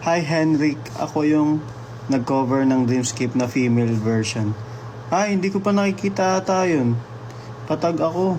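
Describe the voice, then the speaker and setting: Speech at a moderate pace, with noticeable background noise behind it. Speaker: livestreamer. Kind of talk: casual live stream chat, reading comments. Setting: live stream.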